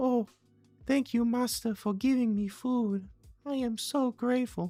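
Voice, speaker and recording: In a put-on character voice, the speaker uses a fairly high pitch at a moderate pace. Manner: grateful, fawning.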